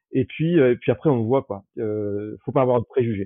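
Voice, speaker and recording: This man sounds energetic, his intonation lively. His pitch sits in the middle range. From southern France, Toulouse. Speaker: holiday rental host. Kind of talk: interview conversation. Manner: halting, many fillers and repetitions.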